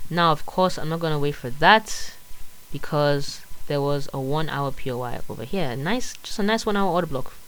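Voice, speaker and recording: At a moderate speed, someone talks with a non-native accent. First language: not English. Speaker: forex trader. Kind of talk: tutorial. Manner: halting; casual.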